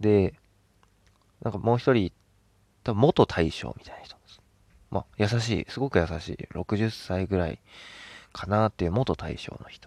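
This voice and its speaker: This man's pitch is fairly low with ordinary variation, and he moves at a moderate pace. His loudness swings widely in a dry, close sound with no echo. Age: 20s. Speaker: podcast host. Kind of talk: casual solo talk. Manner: animated, frequent laughter.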